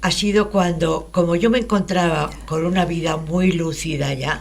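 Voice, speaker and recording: A woman's fairly low voice with vocal fry and ordinary pitch variation, plus audible room echo. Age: 80s+. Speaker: radio show participant. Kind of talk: radio talk show conversation. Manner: halting.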